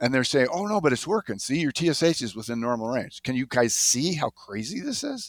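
A man talks in a plain, everyday voice at a medium pitch, fairly quickly and with hardly any pauses. His intonation is lively, and the sound is dry and close with no echo. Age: 60s. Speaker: physician. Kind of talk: casual interview.

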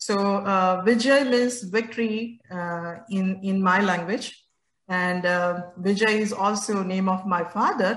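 A woman's somewhat breathy voice at a very slow pace, with fairly even intonation. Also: medium pitch for a woman. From India, Gujarat. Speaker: IT education founder. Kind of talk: interview.

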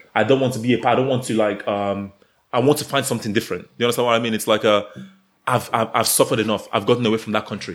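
Speaking very fast, a man holds a medium pitch. His intonation stays fairly even. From Nigeria. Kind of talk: casual chat.

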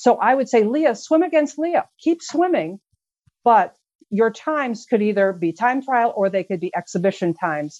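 A woman speaks with an American accent at a fairly high pitch. Her pitch swings very widely. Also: moderate pace, quiet background. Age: 60s. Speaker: swimming official. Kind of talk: panel discussion. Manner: animated.

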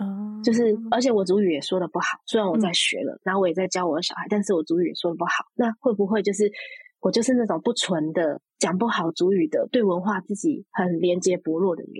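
A woman of medium pitch at a fairly quick pace, somewhat breathy, with ordinary pitch variation, hardly any pauses and a dry, close sound with no echo. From Taiwan, Taipei. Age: 30s. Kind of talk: interview conversation.

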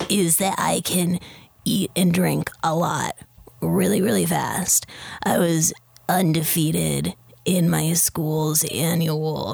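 Noticeable background noise runs through the clip. The speech moves at a very slow pace. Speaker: tabletop game player. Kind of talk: casual recap and in-character roleplay.

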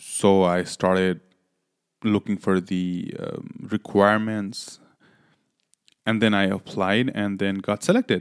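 A man speaks at a very slow pace, with long, frequent pauses and a monotone, flat intonation at a fairly low pitch. The recording is very clean with a silent background and a dry, close sound with no echo. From Nepal. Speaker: medical student and physician. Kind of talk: podcast monologue.

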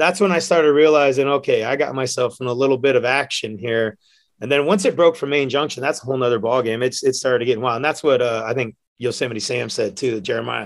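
A man speaks very fast with an American accent, the background quiet behind him. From San Francisco Bay Area, California. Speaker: bartender and hiker. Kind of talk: casual chat. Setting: studio.

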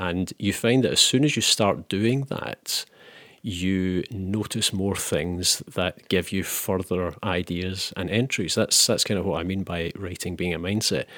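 On a very clean recording with a silent background, a man with a Scottish accent speaks fairly slowly, his very deep, low pitch showing ordinary variation. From Scotland. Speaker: novelist. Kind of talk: interview conversation. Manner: hesitant with many fillers.

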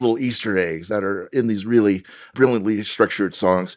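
An ordinary speaking voice with ordinary pitch variation is heard on a very clean recording with a silent background. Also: man. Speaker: film critic. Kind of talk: casual chat.

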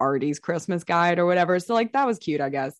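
With lively intonation, a woman speaks in a fairly low pitch, her sound dry and close with no echo over a quiet background. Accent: American. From US South, Alabama. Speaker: podcast co-host. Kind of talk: casual chat. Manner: animated.

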